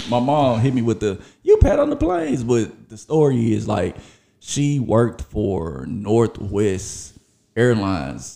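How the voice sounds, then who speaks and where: A man talks at a fairly slow pace in a Memphis accent. His tone is dark and mellow. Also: medium pitch for a man. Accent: US Southern, Memphis. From Memphis, Tennessee. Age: 30s. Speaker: podcast host. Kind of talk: casual monologue.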